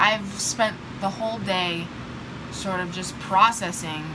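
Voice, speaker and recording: The speech moves at a fairly slow pace against noticeable background noise. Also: woman. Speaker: vlogger. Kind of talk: casual talk to camera. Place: home room. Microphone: phone near.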